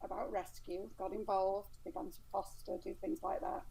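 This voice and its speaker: A woman's fairly high, dark, mellow voice in an English accent at a moderate pace. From England. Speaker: dog rescue volunteer. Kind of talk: interview. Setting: live stream.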